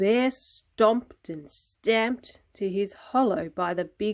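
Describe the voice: Over a quiet background, the voice is plain reading aloud with ordinary pitch variation.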